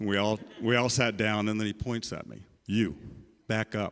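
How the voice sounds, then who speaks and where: Over a silent background in a very clean recording, a man talks at a fairly quick pace. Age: 60s. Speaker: author and journalist. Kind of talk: book talk conversation. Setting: church event with audience. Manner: halting, many fillers and repetitions.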